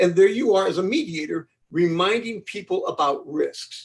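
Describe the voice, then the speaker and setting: In an American accent, a man speaks at a high pitch. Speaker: law professor and mediation expert. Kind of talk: webinar lecture. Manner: fast.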